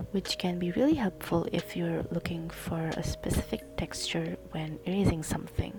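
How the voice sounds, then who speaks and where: Music plays in the background as the speech moves at a fairly slow pace. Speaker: digital artist. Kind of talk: tutorial voice-over.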